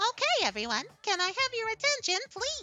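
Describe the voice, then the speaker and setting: A female-sounding, squeaky put-on character voice at an extremely high pitch moves at a moderate pace, with faint music in the background. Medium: game stream. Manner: sweet, whiny.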